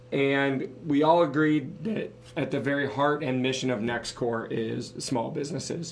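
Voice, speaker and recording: A man's fairly high voice at a fairly slow pace, with audible room echo and noticeable background noise. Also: ordinary pitch variation. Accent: American. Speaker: podcast co-host, business owner. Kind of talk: casual podcast talk.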